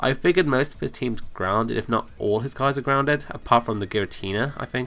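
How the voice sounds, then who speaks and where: Speaking at a very fast pace, a man with a medium pitch has a bright, sharp tone and ordinary pitch variation. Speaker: gaming commentator. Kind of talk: game commentary voice-over. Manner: casual, chatty.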